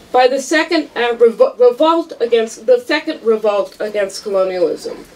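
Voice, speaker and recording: A woman's high-pitched voice carries an animated tone. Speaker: law professor. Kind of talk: tribute speech. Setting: event hall with audience. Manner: animated, humorous. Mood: warm, commemorative. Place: hall. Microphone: handheld.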